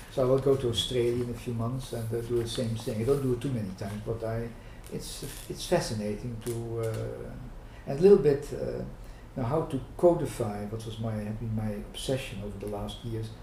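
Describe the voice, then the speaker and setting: A man talks at a fairly quick pace. His voice is medium in pitch, and the room echo is audible. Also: ordinary pitch variation. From Netherlands. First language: Dutch. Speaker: management professor and psychoanalyst. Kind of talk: oral history interview. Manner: halting, many fillers.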